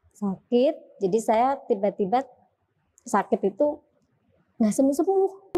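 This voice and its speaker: Very slowly, with long, frequent pauses, a woman speaks in a high voice of dark, mellow tone. Her pitch swings very widely. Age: 30s. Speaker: convert to Islam. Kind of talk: testimony.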